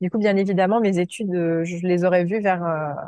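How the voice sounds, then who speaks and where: With a normal speaking voice, a woman talks at a moderate pace with fairly even intonation, in a dry, close sound with no echo. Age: 30s. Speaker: entrepreneur. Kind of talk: interview.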